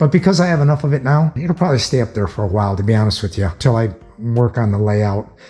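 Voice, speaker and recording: Over music in the background, a man at medium pitch talks at a very fast pace. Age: 60s. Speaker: tool and garage video maker. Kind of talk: casual vlog talk to camera. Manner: halting, with fillers.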